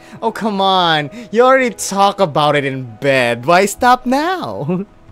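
Reading aloud, plain and simple

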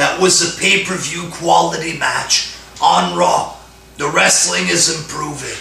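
Audible room echo and light background noise surround the recording. A man speaks at a very slow pace. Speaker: wrestling fan vlogger. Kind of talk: commentary rant. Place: home room. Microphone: camera far.

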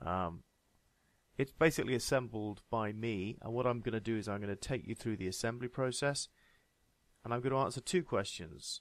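A man talks with a British accent and ordinary pitch variation. The recording is very clean, with a silent background. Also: medium pitch for a man, fairly quick pace. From UK. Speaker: tech hobbyist reviewer. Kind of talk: casual tech review talk to camera.

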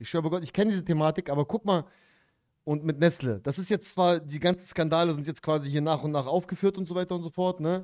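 Against a quiet background, a man speaks at a very fast pace. His tone is animated and his pitch is high. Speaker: streamer reacting to a video. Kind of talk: angry rant in a livestream reaction, casual street slang. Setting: livestream. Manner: animated, emphatic, indignant, peppered with slang like 'Dicker' and 'Bruder'. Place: home room. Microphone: studio mic.

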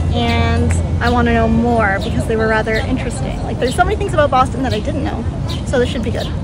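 A woman speaks over loud music in the background. The sound is dry, with no echo. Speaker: vlogger. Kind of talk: casual vlog chat. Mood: cheerful, excited. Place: garden. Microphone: phone near.

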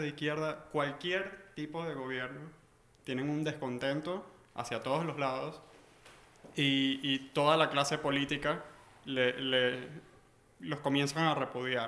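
A man talks at a fairly slow pace in a plain, everyday voice. His pitch is fairly high and his intonation fairly even. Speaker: audience member. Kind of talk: panel talk. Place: meeting room. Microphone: camera far.

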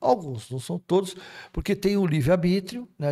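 A man speaks at a fairly quick pace in a somewhat breathy voice, his pitch swinging very widely, over a quiet background. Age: 60s. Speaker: spiritist speaker; speaker. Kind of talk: casual chat. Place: studio. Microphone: studio mic.

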